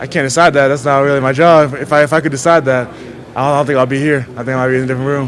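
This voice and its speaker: Noticeable background noise sits behind a man with a fairly high pitch and monotone, flat intonation. He talks at a very fast pace with hardly any pauses. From Haiti, moved to US around age nine. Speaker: college football player. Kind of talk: press interview. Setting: media session at a scouting event. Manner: casual, repetitive, many fillers.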